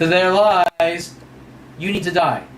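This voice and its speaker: A man's high-pitched voice with an American accent, monotone, flat intonation and a moderate pace, amid audible room echo and noticeable background noise. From Southern California. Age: 40s. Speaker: vlogger. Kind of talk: personal video monologue. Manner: rambling, hesitant with fillers.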